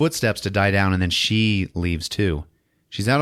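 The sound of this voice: Read in an unforced reading voice, the clip has a quiet background.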